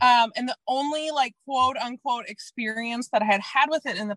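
A woman with an American accent speaks high and bright with a sharp tone and lively intonation, in a dry, close sound with no echo. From US Midwest, Minnesota. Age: 30s. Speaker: anti-diet coach. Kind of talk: casual chat.

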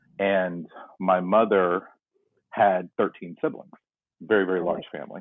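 With an American accent, a man speaks very deep and low at a moderate pace, his intonation fairly even and his speech marked by long, frequent pauses. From North Carolina. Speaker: podcast guest sharing DNA surprise story. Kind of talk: casual interview, personal storytelling. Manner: reflective, somewhat pensive.

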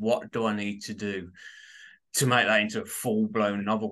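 Against a quiet background, a man with a fairly low pitch speaks with fairly even intonation. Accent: Birmingham. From Birmingham, England. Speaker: author. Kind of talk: casual interview chat.

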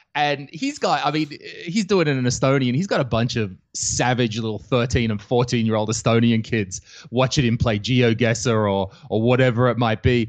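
Medium pitch for a man, in an Australian accent, at a moderate pace with ordinary pitch variation and a quiet background. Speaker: comedian. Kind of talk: casual chat.

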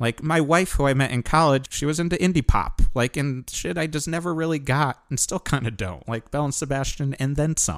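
In a normal speaking voice, a man with an American accent talks with hardly any pauses at a fairly high pitch and ordinary pitch variation, in a very clean recording with a silent background. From US Northeast (Connecticut). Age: 40s. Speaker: hardcore band musician. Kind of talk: casual chat. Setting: outdoors on a porch.

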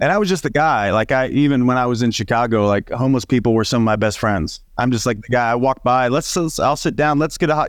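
A man with a medium pitch and an American accent talks at a very fast pace. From Southern Illinois. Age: 40s. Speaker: leadership coach. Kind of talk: casual interview.

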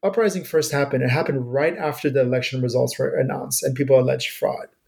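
A man with vocal fry at a very fast pace, with ordinary pitch variation. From Iran, raised in US from early childhood. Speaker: professor. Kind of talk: interview.

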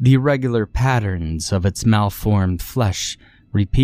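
The clip consists of plain reading aloud.

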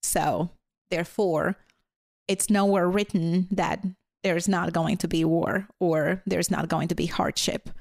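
With a Latvian accent, a woman speaks at medium pitch and a fairly slow pace. Her intonation is monotone and flat. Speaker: teacher. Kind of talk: casual interview conversation. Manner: shy.

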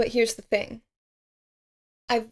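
The speaker is a woman. Her voice rests at a fairly high pitch. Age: 20s. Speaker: podcast host. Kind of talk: solo self-help monologue.

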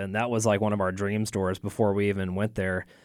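On a very clean recording with a silent background, a man with an American accent and fairly low pitch speaks at a fairly quick pace. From Texas, Waco. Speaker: art supply store owner. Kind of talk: interview. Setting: studio.

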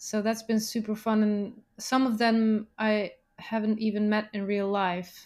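A woman speaks slowly-ish, at a fairly slow pace and a fairly high pitch, in a monotone, flat way. The recording is very clean, with a silent background. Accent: non-native. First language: not English. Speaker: musician. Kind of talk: casual interview chat. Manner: halting, searches for words.

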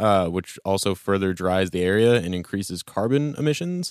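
With an American accent, a man talks in an ordinary speaking voice at a fairly slow pace and fairly low pitch, the sound dry and close with no echo, in a very clean recording with a silent background. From Oregon, US. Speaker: podcast co-host. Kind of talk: casual chat.

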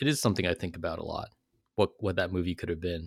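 This man has a Californian accent and a very deep, low pitch with ordinary pitch variation. The sound is dry and close with no echo, on a very clean recording with a silent background. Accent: General American (Californian). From US West Coast, California South Bay (Silicon Valley). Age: 40s. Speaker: writer and professor. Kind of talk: interview.

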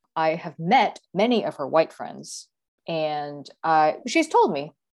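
The speaker has an American accent, and the recording is very clean with a silent background. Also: woman. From Texas. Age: 40s. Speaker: tech worker. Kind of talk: interview.

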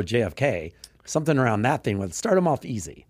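A man's medium-pitched voice with very wide pitch swings and vocal fry, at a very fast pace. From Texas. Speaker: dating coach and podcast host. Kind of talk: casual chat.

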